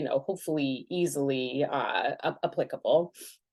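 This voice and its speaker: In a quiet setting, a woman talks with ordinary variation in her pitch. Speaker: clinical psychologist. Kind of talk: webinar lecture. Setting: video call. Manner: fast.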